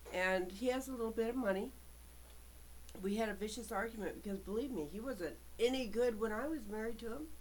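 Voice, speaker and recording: Speaking fairly quickly but with long, frequent pauses, a woman uses a fairly high voice with ordinary pitch variation, with audible room echo. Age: 60s. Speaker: vlogger. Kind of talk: personal monologue. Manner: halting.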